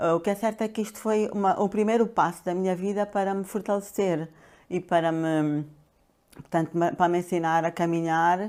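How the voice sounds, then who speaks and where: On a very clean recording with a silent background, a woman talks at a moderate pace, her medium pitch carrying fairly even intonation. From Angola (Luanda). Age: 60s. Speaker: pharmacist and coach. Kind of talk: interview. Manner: hesitant, many fillers.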